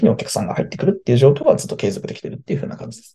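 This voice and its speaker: A man's voice with lively intonation. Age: 20s. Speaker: business owner, podcast guest. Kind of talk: casual interview.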